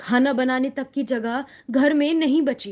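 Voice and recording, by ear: Her voice is high-pitched with a slightly mellow tone. The woman speaks fairly slowly with ordinary pitch variation.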